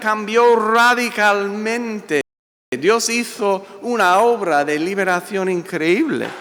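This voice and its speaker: Room echo is audible as a man speaks at a high pitch. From US, Italian-American family. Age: 60s. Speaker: pastor. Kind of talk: sermon. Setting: church.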